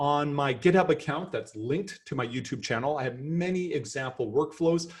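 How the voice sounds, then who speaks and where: On a very clean recording with a silent background, a man with a Canadian accent speaks at a moderate pace, his fairly high pitch showing ordinary variation. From Canada. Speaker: professor. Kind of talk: lecture. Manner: animated.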